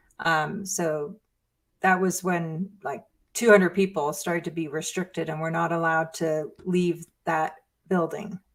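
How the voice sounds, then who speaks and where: A woman talks with an American accent at a fairly low pitch. Her pace is fairly slow and her intonation fairly even. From England. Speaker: former Scientologist. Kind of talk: live Q&A stream.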